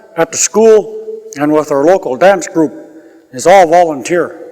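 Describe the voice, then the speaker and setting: A man with a high-pitched voice speaks at a moderate pace with ordinary pitch variation. Noticeable background noise runs underneath. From northern British Columbia coast, Canada (First Nations village). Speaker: community drum and dance group leader. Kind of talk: oral history interview.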